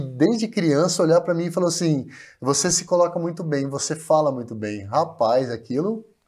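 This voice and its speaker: The background is quiet as a man speaks at a high pitch. He keeps a moderate pace. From Brazil, Bauru (São Paulo state); São Paulo state, Brazil. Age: 40s. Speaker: TV presenter and journalist; interview guest, TV presenter. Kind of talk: interview storytelling. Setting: studio stage. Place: studio. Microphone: lapel.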